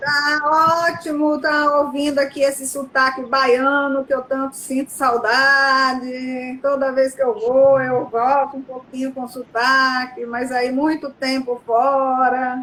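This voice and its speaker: A woman speaks at a very slow pace in a high pitch, with hardly any pauses. Her intonation is monotone and flat. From Bahia, Brazil. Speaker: professor. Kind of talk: casual interview.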